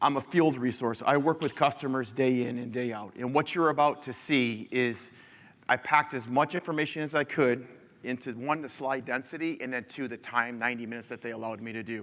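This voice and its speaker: A man's fairly quick, medium-pitched speech with a Midwestern American accent, fairly even intonation and big swings in loudness. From Michigan. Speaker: engineer presenting a conference talk. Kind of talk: conference presentation. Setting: stage with audience. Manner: casual, many filler ums.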